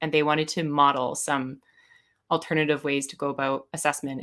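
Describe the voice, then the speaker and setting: A woman with a Canadian accent speaks very fast in a very deep, low voice with a bright, sharp tone, on a very clean recording with a silent background. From Canada, British Columbia (Vernon). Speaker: educator and assessment consultant. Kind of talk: podcast interview.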